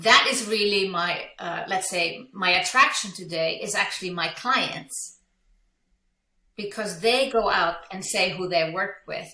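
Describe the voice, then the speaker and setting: Audible room echo surrounds a woman speaking with an Icelandic accent. She talks at a fairly slow pace with ordinary pitch variation. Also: medium pitch for a woman. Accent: non-native English, Icelandic. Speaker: business coach. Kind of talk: interview. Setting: podcast.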